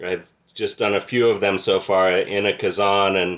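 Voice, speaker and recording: At a moderate pace, a man speaks in a monotone, flat intonation with a fairly low pitch. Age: 60s. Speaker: podcast interviewer. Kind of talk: interview.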